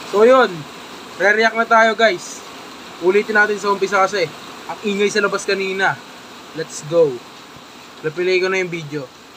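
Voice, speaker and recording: Projecting his high-pitched voice over noticeable background noise, a man talks at a moderate pace with ordinary pitch variation and long, frequent pauses. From Philippines, Metro Manila (Caloocan). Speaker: vlogger. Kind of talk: casual reaction commentary. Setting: indoors, moved in from noisy outside.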